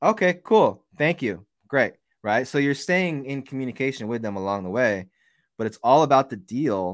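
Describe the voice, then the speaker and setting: A man with a medium-pitched voice speaks at a moderate pace. His pitch swings very widely against a quiet background. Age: 40s. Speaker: real estate investor. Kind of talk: casual interview.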